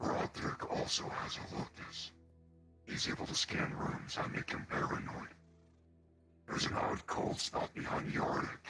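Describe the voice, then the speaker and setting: Over loud background noise, a man in a put-on character voice keeps a moderate pace with long, frequent pauses. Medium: actual play. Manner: smug, blunt.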